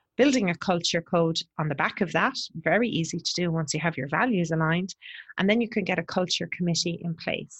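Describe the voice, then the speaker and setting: The voice moves at a fairly quick pace, somewhat breathy, with ordinary pitch variation. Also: woman, fairly low pitch for a woman. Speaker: podcast host for agency owners. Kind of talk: solo monologue. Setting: borrowed office in New Haven.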